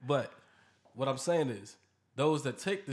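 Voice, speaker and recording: Over a silent background in a very clean recording, a man talks at a moderate pace in an ordinary speaking voice, with medium pitch and ordinary pitch variation. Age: 30s. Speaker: podcast host. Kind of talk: casual chat.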